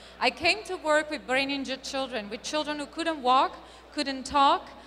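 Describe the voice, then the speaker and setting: A woman speaks in a raised, projected voice at a high pitch. Her pace is moderate. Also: ordinary pitch variation. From Italy. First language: Italian. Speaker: marketing speaker. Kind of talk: conference talk.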